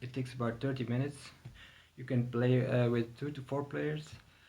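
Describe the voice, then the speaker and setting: Using a medium pitch and ordinary pitch variation, a man speaks with a non-native accent. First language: not English. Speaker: board game reviewer. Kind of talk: tutorial. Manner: hesitant, many fillers. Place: home room. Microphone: camera far.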